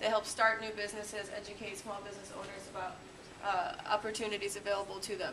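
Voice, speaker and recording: Over noticeable background noise, a woman talks at a very fast pace with a fairly high pitch. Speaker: city government staffer; presenter. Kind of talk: class introduction. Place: classroom. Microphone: camera far.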